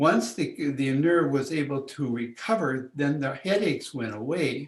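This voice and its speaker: A man's medium-pitched voice with vocal fry, fairly slow, with ordinary pitch variation. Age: 80s+. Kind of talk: interview. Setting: in person, came in to the office. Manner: halting, many restarts.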